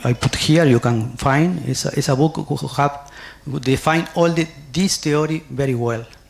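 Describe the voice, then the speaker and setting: Speaking with a Spanish accent at a moderate pace, a man has a somewhat breathy, fairly high voice and fairly even intonation. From Uruguay. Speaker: nursing scholar, conference speaker. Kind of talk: conference presentation. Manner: halting, with frequent fillers.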